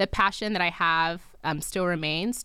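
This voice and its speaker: In a New Jersey accent, a woman speaks with a bright, sharp tone and fairly even intonation. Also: very clean recording, silent background. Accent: American, New Jersey. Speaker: PhD student and lifestyle blogger. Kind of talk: interview. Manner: talkative.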